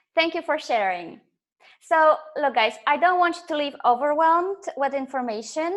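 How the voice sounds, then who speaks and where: A woman speaks with a slight Polish accent. Her voice is high. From Poland. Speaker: life coach. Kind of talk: live webinar presentation. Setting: online webinar, camera off. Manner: hesitant, many fillers.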